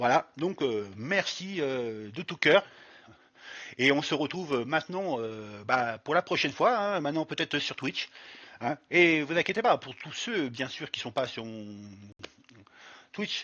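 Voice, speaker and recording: Speaking at a very slow pace with long, frequent pauses, a man with a fairly high pitch makes very wide pitch swings and big swings in loudness. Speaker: streamer and YouTuber. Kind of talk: tutorial. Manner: halting, many fillers.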